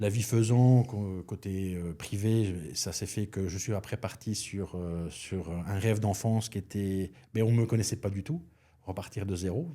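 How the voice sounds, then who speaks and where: Very clean recording with a silent background. A man with a very deep, low pitch and a dark, mellow tone speaks with ordinary pitch variation. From Belgium. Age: 50s. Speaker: chef and restaurant consultant. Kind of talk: podcast interview. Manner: hesitant, many fillers.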